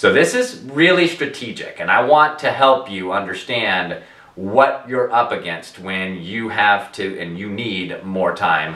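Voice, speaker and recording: Male speech carrying noticeable background noise and audible room echo. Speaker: debt settlement advisor. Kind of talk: educational talk to camera. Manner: fast.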